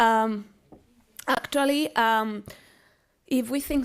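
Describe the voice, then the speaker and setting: Ordinary pitch variation, in a Spanish accent. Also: woman. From Spain. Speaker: university professor. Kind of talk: lecture. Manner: halting.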